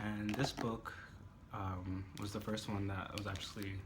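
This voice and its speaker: The speech moves at a moderate pace with monotone, flat intonation. Audible room echo and noticeable background noise surround it. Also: man. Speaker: book reviewer. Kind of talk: casual chat. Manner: hesitant, many fillers.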